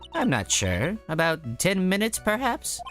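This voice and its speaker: Against clear music in the background, a man uses a put-on character voice at a high pitch and a moderate pace. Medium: game stream. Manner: genteel, old-fashioned politeness.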